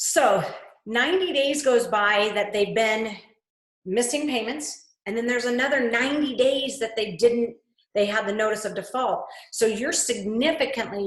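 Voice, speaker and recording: Audible room echo surrounds a woman with a fairly high pitch. She talks at a fairly slow pace with ordinary pitch variation. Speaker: real estate trainer. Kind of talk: webinar presentation.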